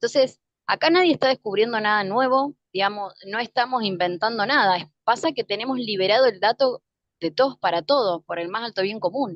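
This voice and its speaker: A woman speaks at a fairly quick pace. Her pitch is fairly high and her intonation lively. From Argentina, Mendoza. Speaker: spiritual teacher. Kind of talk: interview. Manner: fast.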